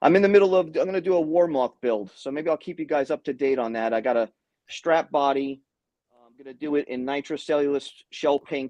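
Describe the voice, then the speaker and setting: In a New York accent, a man with a dark, mellow tone talks fairly quickly at a fairly high pitch, his loudness swinging widely and his pitch varying in an ordinary way, all in a dry, close sound with no echo. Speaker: guitar tech and hobbyist. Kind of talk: casual chat.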